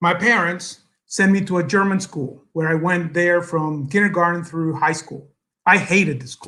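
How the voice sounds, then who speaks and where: A man with a Spanish accent, high-pitched, bright and sharp in tone, with fairly even intonation at a moderate pace. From El Salvador. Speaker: businessman, guest speaker. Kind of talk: speech to an audience. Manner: halting, many fillers.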